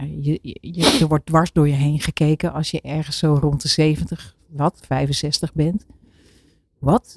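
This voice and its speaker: A woman's very deep, low pitch, somewhat breathy, at a very slow pace in a monotone, flat intonation, with a dry, close sound and no echo. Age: 60s. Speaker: author and program maker. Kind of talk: casual chat. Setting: studio.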